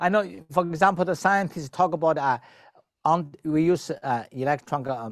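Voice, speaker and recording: Speaking at a moderate pace with a Chinese accent and ordinary pitch variation, a man is heard on a very clean recording with a silent background. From China. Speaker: traditional Chinese medicine doctor and spiritual teacher. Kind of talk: interview. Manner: halting.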